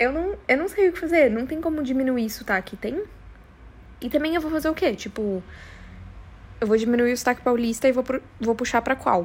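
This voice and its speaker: A woman speaks in a high, animated voice with lively intonation at a fairly quick pace, broken by long, frequent pauses. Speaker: podcast host. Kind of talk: casual solo monologue.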